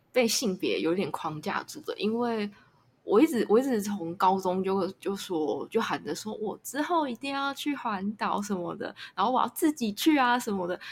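Lively intonation runs through this woman's speech. The voice carries a somewhat breathy quality. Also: moderate pace. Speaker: podcast host. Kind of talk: casual interview chat. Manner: halting.

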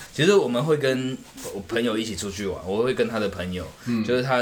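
A man with a Taiwanese accent at a fairly quick pace, ordinary pitch variation and audible room echo. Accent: Taiwanese Mandarin. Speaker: podcast co-host. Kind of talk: casual chat.

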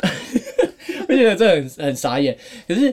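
The man's voice swings very widely in pitch. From Taiwan. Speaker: podcast co-host. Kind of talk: casual chat. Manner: animated.

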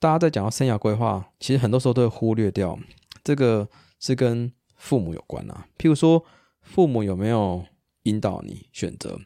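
A man with a dark, mellow tone at a medium pitch, with lively intonation and big swings in loudness. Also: moderate pace. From Taiwan. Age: 30s. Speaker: psychologist and podcast co-host. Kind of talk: casual chat.

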